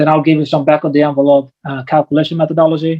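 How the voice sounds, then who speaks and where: Monotone, flat intonation at a very fast pace. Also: man. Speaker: commercial real estate investor. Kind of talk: presentation. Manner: high intensity.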